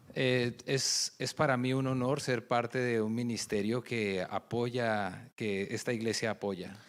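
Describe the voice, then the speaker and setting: With a Spanish accent, a man speaks at a medium pitch with fairly even intonation and hardly any pauses, in a very clean recording with a silent background. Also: moderate pace. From Colombia. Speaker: ministry leader. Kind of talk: testimony.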